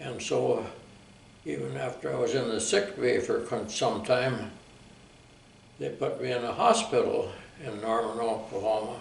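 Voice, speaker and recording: A man speaks at a moderate pace with long, frequent pauses. Noticeable background noise and audible room echo fill the recording. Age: 90s. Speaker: war veteran. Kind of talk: oral history interview.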